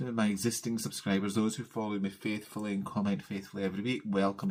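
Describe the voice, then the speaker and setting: A very fast, fairly low-pitched man with a Scottish accent, in a very clean recording with a silent background. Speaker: cross-stitch vlogger. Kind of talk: casual craft vlog chat.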